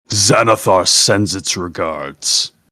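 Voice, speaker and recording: A man's put-on character voice with a fairly low pitch. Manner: menacing.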